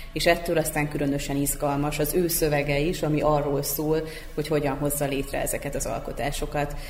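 A woman's very deep, low, monotone voice at a fairly quick pace, amid audible room echo and noticeable background noise. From Vojvodina, Serbia. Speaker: literary magazine editor-in-chief. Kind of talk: radio panel discussion.

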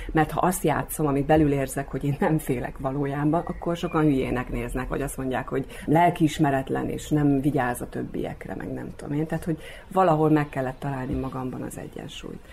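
Talking at a fairly quick pace with hardly any pauses, the voice keeps a fairly even intonation over noticeable background noise. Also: woman, very deep, low pitch for a woman. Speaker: actress and local politician. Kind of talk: radio interview.

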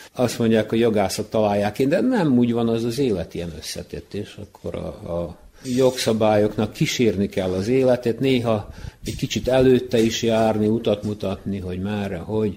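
With fairly even intonation, the voice carries a dark, mellow tone. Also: man. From Vojvodina, Serbia (Novi Sad, Kula). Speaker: law lecturer. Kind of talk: radio interview. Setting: community hall.

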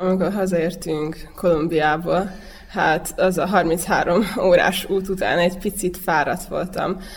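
Amid noticeable background noise, a woman with a fairly low pitch speaks at a very slow pace in a monotone, flat intonation. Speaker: javelin thrower. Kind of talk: interview.

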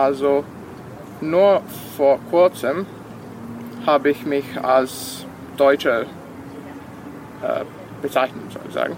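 A man speaks at a very slow pace with long, frequent pauses and ordinary pitch variation. Noticeable background noise runs underneath. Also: fairly high pitch for a man. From Serbia, Vojvodina (Sombor). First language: Serbian (speaking German). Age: 20s. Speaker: university student. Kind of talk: interview. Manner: halting, many fillers.

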